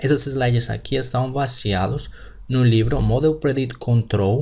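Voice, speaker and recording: A man speaks at a very slow pace in a Colombian accent, his voice somewhat breathy and his intonation fairly even. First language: Spanish (speaking Portuguese). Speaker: engineering teacher. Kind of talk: lecture.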